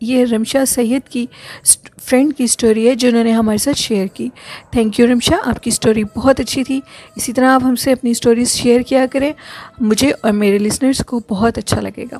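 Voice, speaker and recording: High-pitched and fairly even in intonation, a woman speaks. The sound is dry and close, with no echo. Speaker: horror story podcast host. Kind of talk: storytelling. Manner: not very loud.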